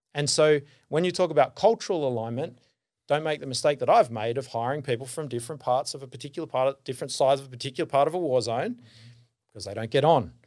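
With an Australian accent, a man speaks very fast at a fairly high pitch, showing ordinary pitch variation and big swings in loudness on a very clean recording with a silent background. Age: 40s. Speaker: business founder and consultant. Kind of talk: casual interview chat.

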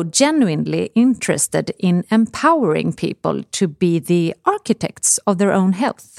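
Speaking with a Swedish accent, a woman keeps a fairly slow pace. The sound is dry and close, with no echo. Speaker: podcast host, health author. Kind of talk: casual chat.

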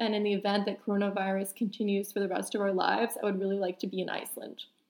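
The woman talks very fast. She has an American accent. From New York City. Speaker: podcast co-host. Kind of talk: casual chat.

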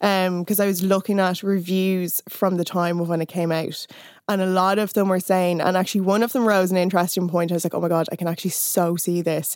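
With an Irish accent, a woman speaks at a fairly quick pace, with medium pitch and fairly even intonation. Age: 30s. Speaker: writer and music critic. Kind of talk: casual chat.

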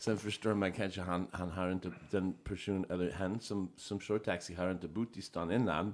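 A man with an American accent speaks at a moderate pace in a very deep, low voice, barely pausing and keeping his intonation fairly even. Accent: American accent in Swedish. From Chicago, US. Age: 50s. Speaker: entertainer. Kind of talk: casual chat.

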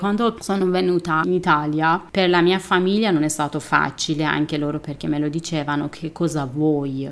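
A woman with a Persian accent speaks at a moderate pace, barely pausing. Her pitch is very deep and low, with ordinary variation. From Iran. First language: Persian (speaking Italian). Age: 30s. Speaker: artist. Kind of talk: interview testimony.

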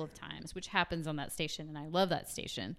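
Talking very fast, a woman speaks in an American accent. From US South. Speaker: musician. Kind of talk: casual chat.

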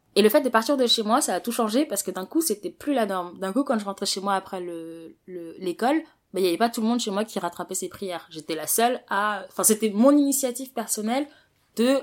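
The recording is very clean, with a silent background. A woman with a plain, everyday voice speaks at a fairly high pitch and a fairly quick pace, with lively intonation. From Paris, France. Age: 20s. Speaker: interviewee sharing life story. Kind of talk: interview.

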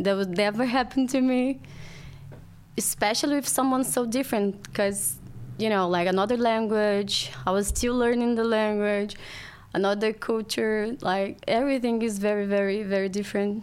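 At a moderate pace, a woman with a Brazilian Portuguese accent speaks at a fairly high pitch with fairly even intonation and very even loudness. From Brazil, Rio de Janeiro. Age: 20s. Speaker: podcast guest. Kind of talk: casual chat.

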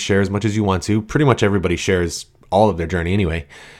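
On a very clean recording with a silent background, a man speaks in an energetic tone at a fairly low pitch. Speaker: podcast host and nutrition coach. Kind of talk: solo podcast monologue. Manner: casual, energetic.

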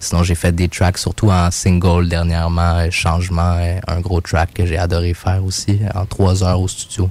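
A man's very deep, low voice, monotone and flat, at very even loudness and a fairly slow pace, with noticeable background noise. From Quebec (Mont-Saint-Hilaire). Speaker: rapper. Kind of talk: casual interview chat.

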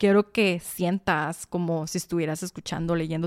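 The voice is monotone and flat at a moderate pace. The recording is very clean, dry and close, with a silent background and no echo. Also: woman. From Sonora, Mexico. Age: 20s. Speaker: podcast host. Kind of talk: personal monologue. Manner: talkative.

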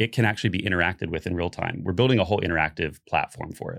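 Here a man speaks with an American accent. His intonation is lively. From Central Florida. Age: 40s. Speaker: creative director at a music tech company. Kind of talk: casual chat.

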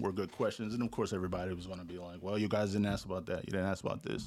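Fairly low in pitch, a man with an American accent talks with fairly even intonation in a plain, everyday voice. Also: very clean recording, silent background. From Louisiana, US South. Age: 40s. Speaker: TV news director. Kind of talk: casual interview.

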